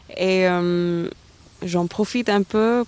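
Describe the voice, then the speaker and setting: A woman talks with fairly even intonation. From India, Delhi. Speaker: aerospace engineer. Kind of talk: interview. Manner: halting, many hesitations.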